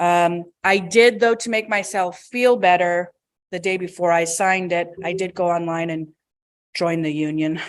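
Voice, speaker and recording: A woman with an American accent speaks at a fairly low pitch. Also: fairly even intonation, moderate pace. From US Midwest, rural Michigan. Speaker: union member speaker. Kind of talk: personal testimony at workshop. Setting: stage with live audience. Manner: casual, hesitant with fillers.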